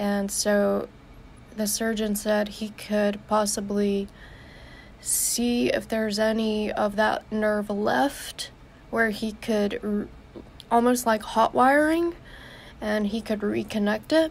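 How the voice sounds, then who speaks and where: At a very slow pace with long, frequent pauses, a woman talks in a fairly high, somewhat breathy voice with ordinary pitch variation. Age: 20s. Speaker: vlogger sharing medical journey. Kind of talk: live video update. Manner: halting.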